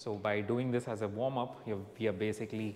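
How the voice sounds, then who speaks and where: With light background noise, a man speaks at a moderate pace with fairly even intonation. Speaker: fitness trainer. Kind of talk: tutorial. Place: gym. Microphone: lapel.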